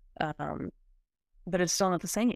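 An ordinary speaking voice from a woman at a fairly quick pace, with fairly even intonation, on a very clean recording with a silent background. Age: 20s. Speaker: podcast co-host, cancer patient. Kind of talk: casual chat.

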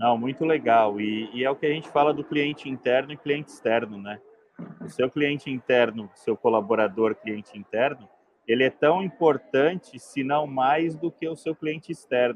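A man at a medium pitch speaks at a moderate pace with ordinary pitch variation. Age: 40s. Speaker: software company host. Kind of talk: live stream interview. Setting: trade fair stand.

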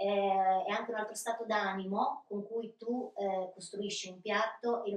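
Using a plain, everyday voice, a woman speaks at a medium pitch and a fairly slow pace with ordinary pitch variation. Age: 40s. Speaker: bar and restaurant owner. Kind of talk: interview.

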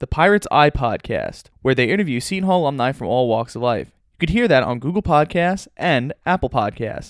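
In a normal speaking voice with an American accent, a man talks at a moderate pace and fairly high pitch, his intonation lively and his loudness swinging widely, with hardly any pauses, in a very clean recording with a silent background and a dry, close sound with no echo. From Long Island, New York. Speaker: podcast host and student radio station manager. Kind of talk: casual interview.

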